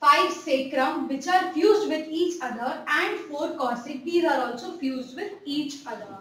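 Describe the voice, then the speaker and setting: Audible room echo surrounds a woman talking at a moderate pace, her high pitch moving with ordinary variation and her loudness swinging widely. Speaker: health educator. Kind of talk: lecture. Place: home room.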